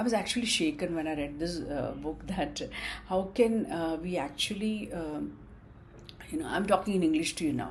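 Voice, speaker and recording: The voice is somewhat breathy with an Indian accent and very wide pitch swings. Room echo is audible. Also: woman. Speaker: student vlogger. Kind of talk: casual talk to camera. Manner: halting, many fillers.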